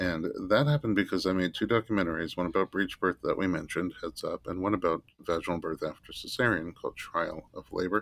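Speech comes at a very fast pace in an American accent, with hardly any pauses. The sound is dry and close, with no echo. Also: man, very deep, low pitch for a man, ordinary pitch variation. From New York (Staten Island). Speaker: chiropractor and childbirth educator. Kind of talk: interview conversation.

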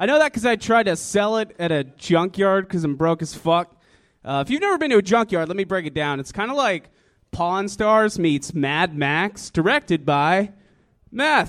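A man with an American accent, high-pitched, at a moderate pace over a quiet background. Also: lively intonation. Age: 20s. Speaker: comedian. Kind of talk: stand-up; casual chat.

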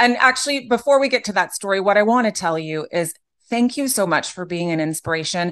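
A woman's unremarkable speaking voice, medium pitch for a woman, ordinary pitch variation, a quiet background. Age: 40s. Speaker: podcast host. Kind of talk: casual interview chat.

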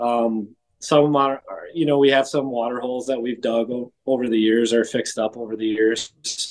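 The speaker has a Wisconsin accent. The pace is moderate. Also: man. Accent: Upper Midwest (Wisconsin). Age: 40s. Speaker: whitetail hunter. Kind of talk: casual interview.

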